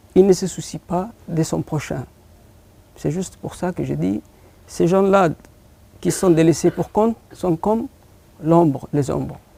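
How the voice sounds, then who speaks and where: A man with a Horn of Africa accent, high-pitched for a man, with a dark, mellow tone, ordinary pitch variation, big swings in loudness, a very slow pace and long, frequent pauses. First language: Afar (speaking French). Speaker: poet and short story writer. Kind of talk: TV interview. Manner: halting, frequent hesitations.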